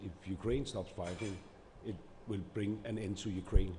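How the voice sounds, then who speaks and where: A man with a non-native accent, fairly low in pitch, at a moderate pace with fairly even intonation. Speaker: government minister. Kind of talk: panel discussion. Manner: halting.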